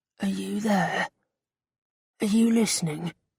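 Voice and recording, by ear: A woman uses a put-on character voice, growling and raspy at a fairly slow pace. The sound is dry and close, with no echo. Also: medium pitch for a woman.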